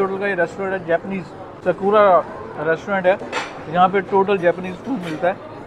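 Noticeable background noise sits under this recording. A man talks at a fairly slow pace in a high pitch. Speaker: food vlogger. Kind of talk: casual vlog chat. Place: cafe. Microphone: lapel.

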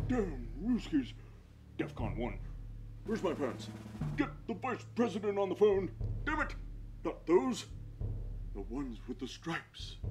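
A man speaks with long, frequent pauses. Clear background noise is heard behind him. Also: moderate pace. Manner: barking, drowsy, blustering.

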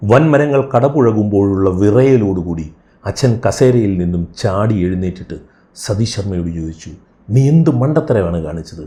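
Somewhat breathy, a man's fairly low voice has a dark, mellow tone and lively intonation. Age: 60s. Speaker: podcast host. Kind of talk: storytelling narration. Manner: measured, pausing.

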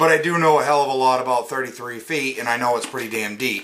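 This man speaks neither fast nor slow, at a moderate pace. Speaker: product reviewer. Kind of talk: casual unboxing review. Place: home room. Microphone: phone near.

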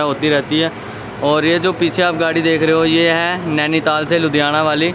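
A man speaks in a flat monotone, his voice dry with no echo over noticeable background noise. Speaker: travel vlogger. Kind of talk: casual vlog chat. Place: street. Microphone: phone near.

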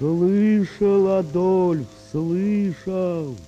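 Clear background noise sits behind a man doing a put-on character voice pitched high.

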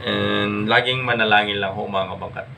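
A man talks at a moderate speed, with audible room echo and noticeable background noise around him. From Ilocos, Philippines. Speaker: vlogger. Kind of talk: casual vlog talk.

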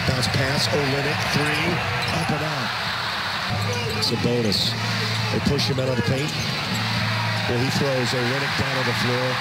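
Loud background noise surrounds a voice moving at a fairly slow pace with long, frequent pauses. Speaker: TV play-by-play announcer. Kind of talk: live basketball play-by-play commentary. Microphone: headset.

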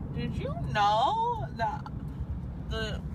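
A woman talks very slowly while noticeable background noise carries on around her. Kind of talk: slurred drowsy rambling chat. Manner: groggy, slurred post-anesthesia speech. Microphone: phone near.

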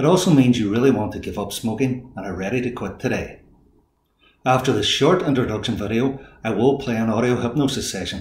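A man talks at a fairly quick pace, his voice somewhat breathy. Audible echo fills the room. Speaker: hypnotist and life coach. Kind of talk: video introduction. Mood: calm, soothing, reassuring. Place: home room.

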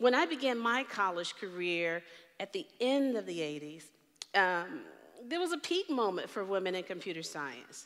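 Against a quiet background, a woman speaks at a moderate pace, her pitch swinging very widely. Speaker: keynote speaker. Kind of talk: keynote talk. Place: stage.

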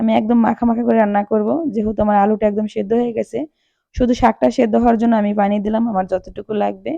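A woman speaks in a fairly high pitch with a dark, mellow tone and fairly even intonation. The sound is dry and close, with no echo. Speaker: cooking channel host. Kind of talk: cooking tutorial.

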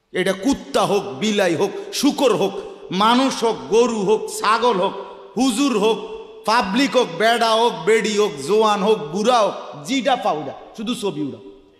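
Amid audible room echo, a man speaks in an animated tone at a high pitch. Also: ordinary pitch variation. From Bangladesh. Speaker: Islamic preacher. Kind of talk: sermon. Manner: animated, exclamatory. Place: stage. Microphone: podium.

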